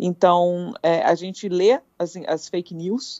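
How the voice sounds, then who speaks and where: A woman with a normal speaking voice, a medium pitch and ordinary pitch variation. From Brazil, Petrópolis, Rio de Janeiro state. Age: 30s. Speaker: paramedic. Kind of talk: live interview.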